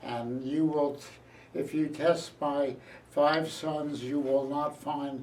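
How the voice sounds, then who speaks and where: There is audible room echo as a man with an American accent speaks at a very slow pace, with a fairly high pitch and a monotone, flat intonation. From Philadelphia area, US. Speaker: retired journalist. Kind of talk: oral history interview.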